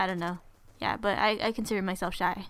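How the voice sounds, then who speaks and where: Speaking very fast, a woman has an American accent. Her voice sits at a medium pitch with fairly even intonation. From California. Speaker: gaming YouTuber. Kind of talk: Q and A vlog. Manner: casual, halting with fillers.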